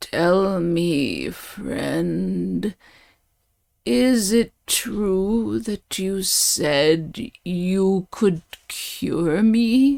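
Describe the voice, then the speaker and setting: In a very clean recording with a silent background, a woman uses a put-on character voice at medium pitch, with lively intonation and a very slow pace. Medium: read story. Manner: weak.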